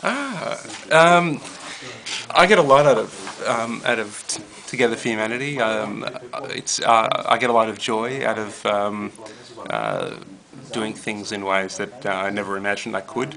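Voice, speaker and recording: Noticeable background noise sits under this fairly slow speech with ordinary pitch variation. Pauses come long and often. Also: man. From US, Brooklyn, New York. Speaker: rabbi and interfaith educator. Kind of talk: casual interview. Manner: halting, many fillers.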